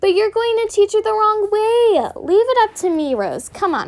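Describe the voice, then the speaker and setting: A woman puts on a character voice with an extremely high pitch. She speaks at a moderate pace. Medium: read story.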